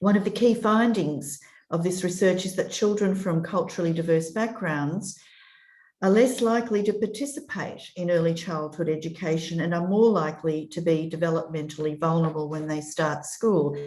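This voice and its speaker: A woman's fairly low voice in an Australian accent, with ordinary pitch variation, a moderate pace and audible room echo. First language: European language. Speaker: children's commissioner. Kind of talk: prepared speech. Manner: formal.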